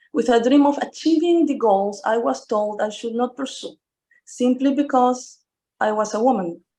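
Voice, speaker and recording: A dark, mellow tone over a quiet background. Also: woman. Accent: Spanish. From Venezuela. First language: Spanish. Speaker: engineering firm president. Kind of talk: panel talk.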